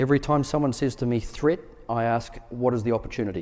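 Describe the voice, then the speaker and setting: A man at a fairly quick pace, medium in pitch, with a New Zealand accent and a dark, mellow tone. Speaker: military officer. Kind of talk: conference Q&A answers.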